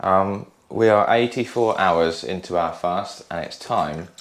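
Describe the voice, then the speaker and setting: With a British accent, a man speaks at a fairly low pitch with ordinary pitch variation. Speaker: podcast co-host. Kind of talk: casual video diary chat.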